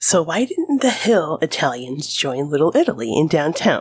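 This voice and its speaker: A woman with a Midwestern accent and a very deep, low pitch, in a very clean recording over a silent background. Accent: American Midwestern. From US Midwest. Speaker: history podcast host. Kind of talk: scripted narration.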